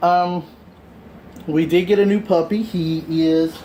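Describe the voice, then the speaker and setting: A man speaks at a high pitch for a man, with noticeable background noise. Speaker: fitness instructor. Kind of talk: workout instruction.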